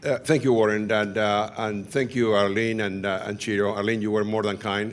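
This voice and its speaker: In a room with audible echo, a man speaks at a moderate pace with a fairly low pitch and monotone, flat intonation. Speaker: physician and HIV researcher, professor. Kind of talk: conference talk.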